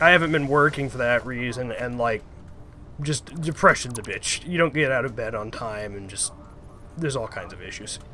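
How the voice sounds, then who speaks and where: A bright, sharp tone from a man. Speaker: gaming streamer. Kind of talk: casual chat. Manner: vocal tics.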